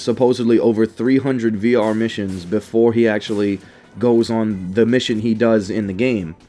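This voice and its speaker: With music in the background, a man speaks at a fairly quick pace, medium pitch and fairly even intonation. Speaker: gaming YouTuber. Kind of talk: gaming commentary. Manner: halting, stuttering with many fillers; slightly fast.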